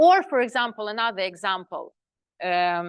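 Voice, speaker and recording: Against a quiet background, a woman speaks with a non-native accent. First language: not English. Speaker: spiritual teacher. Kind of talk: lecture. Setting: live class with audience. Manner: halting.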